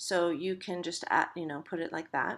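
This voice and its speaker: Recorded very cleanly against a silent background, a woman speaks at a medium pitch with a bright, sharp tone. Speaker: college instructor. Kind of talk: tutorial. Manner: halting, many fillers.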